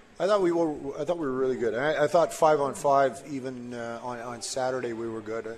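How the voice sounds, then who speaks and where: With hardly any pauses, a man talks at a fairly quick pace and medium pitch, his loudness swinging a lot and his pitch varying in an ordinary way, over noticeable background noise. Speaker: hockey coach. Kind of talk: post-period interview.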